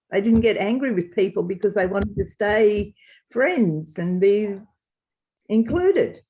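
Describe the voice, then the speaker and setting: A woman with an Australian accent talks at a fairly slow pace and medium pitch, her dark, mellow tone somewhat breathy and her pitch varying in an ordinary way. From Australia, Wagga Wagga NSW. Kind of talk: interview.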